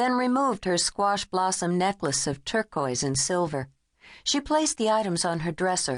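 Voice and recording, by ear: Lively intonation marks this reading aloud in a natural voice over a quiet background.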